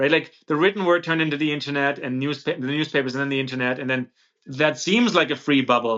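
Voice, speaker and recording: Talking at a very fast pace, a man with a German accent uses a fairly high pitch and ordinary pitch variation. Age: 30s. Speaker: podcast host. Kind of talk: interview conversation.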